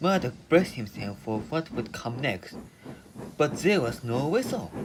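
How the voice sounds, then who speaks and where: A man with a strong non-native accent, a fairly slow pace and very wide pitch swings. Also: medium pitch for a man. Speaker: storyteller. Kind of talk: children's story audio reading.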